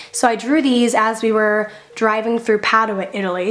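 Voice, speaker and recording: Noticeable background noise accompanies fairly even intonation. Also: woman. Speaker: YouTuber. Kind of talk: casual voiceover narration.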